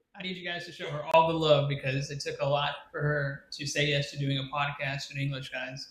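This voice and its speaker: A man with an American accent, fairly high-pitched and monotone, talking fairly quickly with hardly any pauses over noticeable background noise. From United States. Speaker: podcast co-host. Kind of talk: casual chat.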